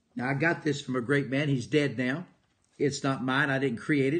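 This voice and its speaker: A man's voice sits at a fairly high pitch and sounds somewhat breathy. The background is quiet. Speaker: motivational speaker and preacher. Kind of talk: live motivational broadcast.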